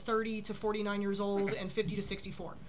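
Music plays in the background. A woman talks at a fairly high pitch. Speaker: insurance broker. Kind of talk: panel discussion. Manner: fast talker.

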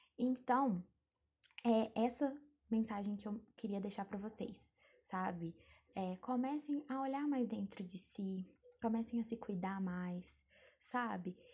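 A somewhat breathy, dark, mellow voice, very slow, with long, frequent pauses and ordinary pitch variation. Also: woman, fairly high pitch for a woman. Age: 20s. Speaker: podcaster. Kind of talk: solo advice monologue. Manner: casual, conversational.

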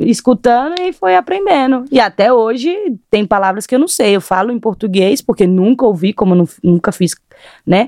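A woman talks in a fairly high, dark, mellow voice with very wide pitch swings. The sound is dry and close, with no echo. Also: moderate pace. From Brazil, Rio Grande do Norte. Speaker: footballer. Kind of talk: interview.

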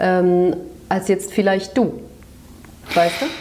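The pitch is medium. A woman is the one talking. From Turkish-German background. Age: 40s. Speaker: podcast co-host. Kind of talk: casual chat. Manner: animated, laughing.

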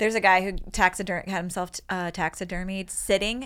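A woman speaks at a medium pitch and a fairly quick pace, with fairly even intonation. Hers is a normal speaking voice. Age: 40s. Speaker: comedian and podcast host. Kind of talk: casual chat. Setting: studio.

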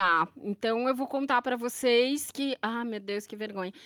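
A woman speaks with a bright, sharp tone at fairly high pitch and ordinary pitch variation. The recording is very clean, with a silent background. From São Paulo city, Brazil. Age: 40s. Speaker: translator and English teacher. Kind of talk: casual podcast interview.

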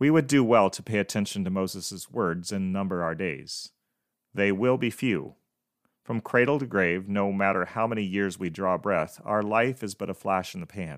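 An unremarkable speaking voice from a man with a fairly low pitch, moderate pace and ordinary pitch variation. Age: 50s. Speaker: podcast host. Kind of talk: devotional monologue.

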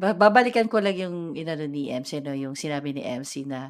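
This woman has a very deep, low pitch and lively intonation at a moderate pace. The recording is very clean with a silent background. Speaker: podcast co-host. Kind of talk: casual chat.

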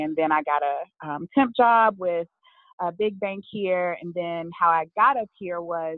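This woman speaks with an American accent at a fairly low pitch. Her pitch varies in an ordinary way. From US South, Birmingham, Alabama. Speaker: networker and event organizer. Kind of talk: interview.

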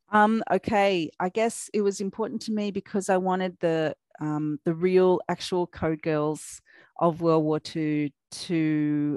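On a very clean recording with a silent background, a woman with an Australian accent speaks at a very slow pace. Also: dry, close sound with no echo. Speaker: young adult crime author. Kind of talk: casual interview chat.

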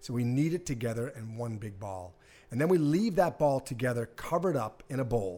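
Speaking with an American accent, a man talks at a fairly quick pace. His medium-pitched voice has a dark, mellow tone and lively intonation. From Boston area, Massachusetts. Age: 50s. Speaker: pizza equipment business owner. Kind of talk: casual interview. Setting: test kitchen.

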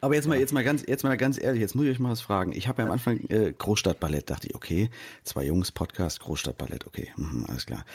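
Talking at a very fast pace, a man with a medium pitch and vocal fry swings very widely in pitch, on a very clean recording with a silent background. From eastern Hesse, Germany. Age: 40s. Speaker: writer and comedian. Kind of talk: casual chat.

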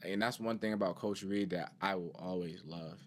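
A man speaks at a fairly quick pace with an American accent. His is a normal speaking voice, fairly low in pitch. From Cleveland, Ohio. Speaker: former student athlete. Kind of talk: personal testimony.

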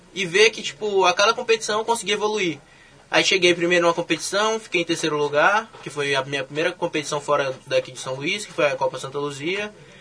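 Noticeable background noise sits behind a man's raised, projected voice. He keeps a moderate pace and ordinary pitch variation. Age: young. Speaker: olympic weightlifter. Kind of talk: casual interview.

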